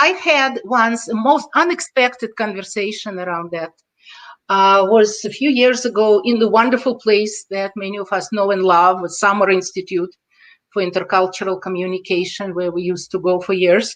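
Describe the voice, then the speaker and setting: The speaker has a Russian accent. The pace is moderate. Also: woman, medium pitch for a woman, ordinary pitch variation. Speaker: intercultural consultant. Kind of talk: podcast interview.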